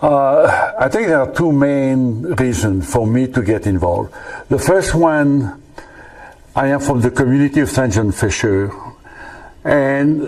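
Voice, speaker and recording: A man speaks with a French accent at a very slow pace, his fairly high voice full of lively intonation over noticeable background noise. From France. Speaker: retired engineer and volunteer. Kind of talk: interview testimony. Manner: halting, many fillers.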